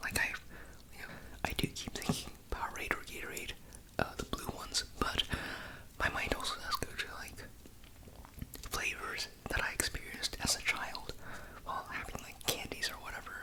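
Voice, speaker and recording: A man whispers at a moderate pace with long, frequent pauses over noticeable background noise. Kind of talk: ASMR product review. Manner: whispered.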